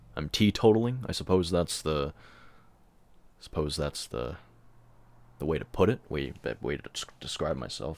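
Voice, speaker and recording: Very deep, low male voice with vocal fry and very wide pitch swings at a fairly slow pace. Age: 20s. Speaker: solo podcaster, songwriter and graphic artist. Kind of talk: personal monologue, venting. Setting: alone in his room. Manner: halting, many fillers and repetitions.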